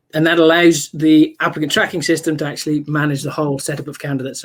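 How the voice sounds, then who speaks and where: A British accent comes through at a fairly quick pace on a very clean recording with a silent background. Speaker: software vendor presenter. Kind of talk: product demo. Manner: halting, many fillers.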